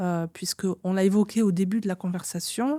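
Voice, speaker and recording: The voice has a dark, mellow tone, moving at a fairly slow pace with ordinary pitch variation. The recording is very clean, with a silent background and a dry, close sound without echo. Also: woman. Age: 60s. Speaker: interviewer and anthropologist. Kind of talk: interview.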